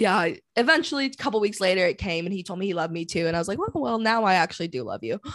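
Speaking very fast with a Canadian accent, a woman uses a medium pitch and very wide pitch swings. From Vancouver, Canada. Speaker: podcast host. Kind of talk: casual chat.

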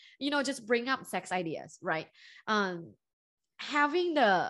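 Speaking in a Thai accent, a woman uses a bright, sharp tone and a fairly high pitch with very wide swings, at a moderate pace against a quiet background. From Thailand, Bangkok. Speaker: professor and relationship coach. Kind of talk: podcast interview.

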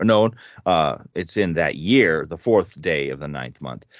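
At a moderate pace, a man talks with vocal fry. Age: 50s. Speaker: podcast host leading Bible study. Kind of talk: casual Bible study discussion.

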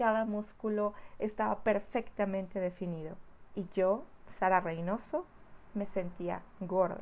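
A woman's unremarkable speaking voice, medium in pitch, at a fairly slow pace with fairly even intonation. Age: 40s. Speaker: spiritual healer. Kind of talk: personal testimony. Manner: warm.

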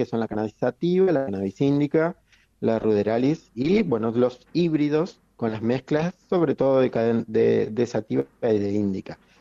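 A man speaks at a medium pitch and a moderate pace, with ordinary pitch variation. His tone is dark and mellow, and the sound is dry and close with no echo. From Argentina, Patagonia (Chubut). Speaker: medical doctor, cannabis columnist. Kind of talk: radio interview, explanatory Q&A. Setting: radio broadcast. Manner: halting, many fillers.

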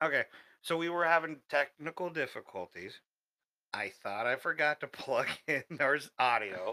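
A man's fairly high, bright, sharp voice with vocal fry and lively intonation, dry and close with no echo. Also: moderate pace. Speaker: podcast host. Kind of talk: casual chat.

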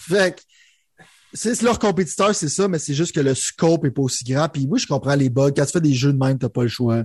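A man with a Quebec accent speaks at a fairly high pitch, somewhat breathy, with lively intonation. The sound is dry and close with no echo, over a quiet background. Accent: Québécois French. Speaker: gaming podcast co-host. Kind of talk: casual chat.

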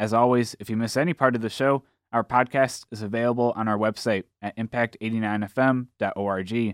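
A man with an unremarkable speaking voice and medium pitch is heard in a dry, close sound with no echo on a very clean recording with a silent background. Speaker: radio host. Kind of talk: radio show hosting. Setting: studio.

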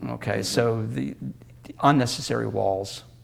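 An American accent from a man at medium pitch, with vocal fry. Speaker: Mennonite educator and essayist. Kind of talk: interview. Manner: halting.

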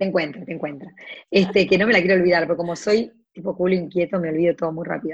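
This woman talks at a very fast pace. Her pitch is fairly low. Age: 40s. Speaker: entrepreneur and blogger. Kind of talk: interview. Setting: video call. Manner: animated.

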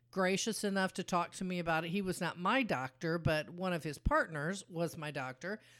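A woman with an unremarkable speaking voice talks at a medium pitch with lively intonation. The recording is very clean and the background silent. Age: 60s. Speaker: podcast co-host, patient's mother. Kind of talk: casual chat.

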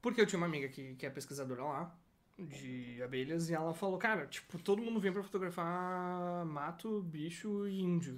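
A man's high-pitched voice shows ordinary pitch variation and keeps a moderate pace. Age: 20s. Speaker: designer. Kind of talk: casual chat. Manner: animated.

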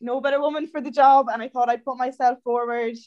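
With an Irish accent, a woman speaks fairly quickly in a high pitch with fairly even intonation. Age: 20s. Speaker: student election candidate. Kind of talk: interview.

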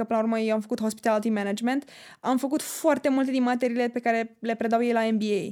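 A woman's fairly high-pitched voice with a dark, mellow tone at a very fast pace, in a very clean recording over a silent background. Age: 20s. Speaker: student. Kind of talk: casual chat.

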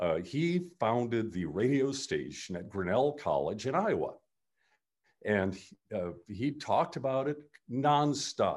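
A medium-pitched man's voice with vocal fry, very wide pitch swings and a fairly slow pace. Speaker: retired radio host. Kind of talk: casual interview. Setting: video call. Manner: animated.

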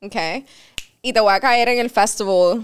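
Her pitch fairly high and varying in an ordinary way, a woman talks with a Spanish accent. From Miami, Cuban-American. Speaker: podcast host. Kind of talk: sponsor read; casual chat.

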